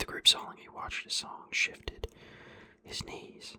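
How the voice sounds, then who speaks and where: Someone whispers at a moderate pace. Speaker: ASMR channel host reading a novel chapter aloud. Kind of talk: ASMR audiobook-style reading of a serialized novel. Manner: narrating in a measured, storytelling reading voice.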